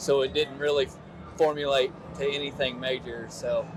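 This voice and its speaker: The speaker has a Kentucky accent and ordinary pitch variation. Noticeable background noise is present. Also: man. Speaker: army sergeant and nonprofit founder. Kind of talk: interview.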